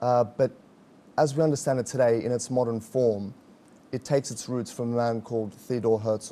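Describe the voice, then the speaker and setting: At a moderate pace, a man with an Australian accent speaks in a dark, mellow tone at a medium pitch with fairly even intonation. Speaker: activist spokesman. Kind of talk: interview.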